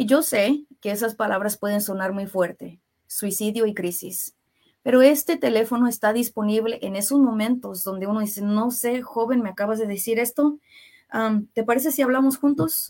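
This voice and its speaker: A woman speaks in an unremarkable speaking voice, with a fairly high pitch, ordinary pitch variation and a moderate pace. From US Midwest (Kansas City), Mexican family. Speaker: health plan worker, mental health trainer. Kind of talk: radio interview. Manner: frequent filler words.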